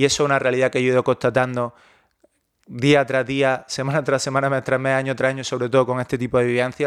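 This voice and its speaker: At a fairly quick pace, a man speaks at medium pitch on a very clean recording with a silent background. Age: 30s. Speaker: online fitness coach. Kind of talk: personal monologue.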